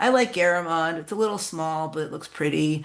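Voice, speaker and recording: Audible room echo surrounds a woman speaking at a moderate pace. Her pitch is very deep and low. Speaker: contest organizer, writer. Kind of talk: workshop talk.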